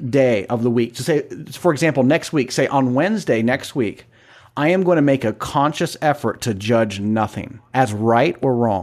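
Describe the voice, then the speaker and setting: A man with a plain, everyday voice speaks at a moderate pace, medium in pitch and lively in intonation. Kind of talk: casual chat.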